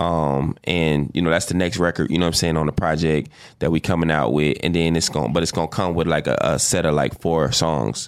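A man with an American accent speaks at a fairly quick pace with hardly any pauses, his very deep, low pitch carrying vocal fry, fairly even intonation and very even loudness. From Chicago, South Side. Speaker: R&B singer and songwriter. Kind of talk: casual interview chat. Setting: studio.

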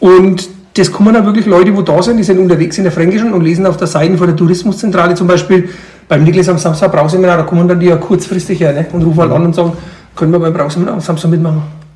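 A man talks at a very fast pace in a high pitch, with a monotone, flat delivery and very even loudness. Audible room echo and noticeable background noise fill the recording. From Franconian Switzerland, Upper Franconia. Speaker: brewer, brewery owner. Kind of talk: interview.

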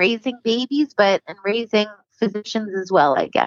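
A woman's fairly high pitch and lively intonation, a normal speaking voice at a moderate pace. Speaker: podcast co-host and neonatal physician. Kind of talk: interview.

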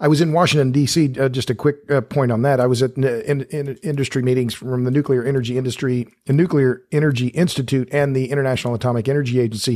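In a very clean recording with a silent background, a man with a dark, mellow tone and medium pitch speaks at a very fast pace with hardly any pauses and fairly even intonation. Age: 60s. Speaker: energy writer and podcast host. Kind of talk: casual interview.

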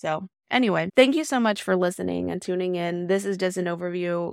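A woman at medium pitch speaks at a moderate pace with an American accent, in a plain, everyday voice. The recording is very clean, dry, and close, with a silent background and no echo. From US South, Decatur, Alabama. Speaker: podcast host, product design manager. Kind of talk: casual monologue. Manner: casual, filler-heavy.

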